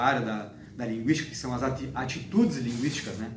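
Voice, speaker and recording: A man speaks at a very fast pace. Noticeable background noise and audible room echo are present. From southern Brazil, Uruguay border (Santana do Livramento, RS). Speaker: linguistics doctoral student. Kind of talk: interview. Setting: host's apartment. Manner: halting, many restarts and fillers.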